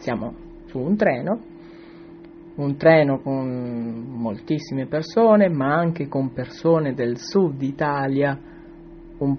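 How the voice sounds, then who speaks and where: A man with a fairly high pitch and ordinary pitch variation talks through noticeable background noise. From southern Italy, Calabria (Tropea). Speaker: Italian teacher. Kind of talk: recorded audio comment.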